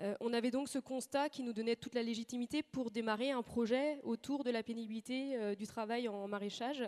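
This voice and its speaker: A woman talks at a fairly quick pace with hardly any pauses, in a fairly high pitch. Her intonation is fairly even, and the sound is dry and close with no echo. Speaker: agricultural research station manager. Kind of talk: conference talk. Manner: fast; hesitant, frequent fillers.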